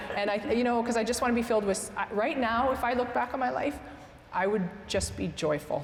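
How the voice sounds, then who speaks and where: A woman speaks at a very fast pace with a fairly high pitch and lively intonation over noticeable background noise. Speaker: entrepreneur. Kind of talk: interview.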